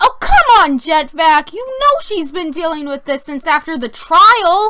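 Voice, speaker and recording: An extremely high-pitched, cartoonish character voice speaks at a moderate pace. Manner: enthusiastic, peppy.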